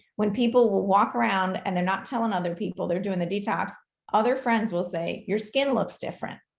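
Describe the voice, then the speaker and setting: A woman speaks with vocal fry. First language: not English. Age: 40s. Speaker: doctor. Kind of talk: live Q&A.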